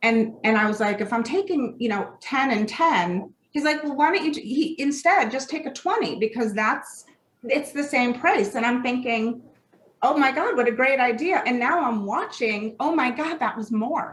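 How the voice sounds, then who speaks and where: At a moderate pace, a woman with a high pitch talks with lively intonation. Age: 50s. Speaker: former opioid user, mother. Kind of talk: interview answer.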